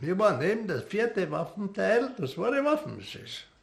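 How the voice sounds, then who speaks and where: This man speaks with a high pitch. His voice moves through very wide pitch swings. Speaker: war veteran. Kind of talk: testimony.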